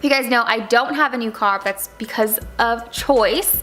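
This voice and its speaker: A woman's animated, fairly high-pitched voice at a moderate pace, with music in the background. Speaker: lifestyle vlogger. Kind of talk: casual vlog talk.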